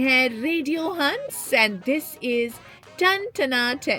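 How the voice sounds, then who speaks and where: A woman's raised, projected voice, high-pitched with very wide pitch swings, over background music. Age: 40s. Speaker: radio jockey. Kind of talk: radio show on-air intro.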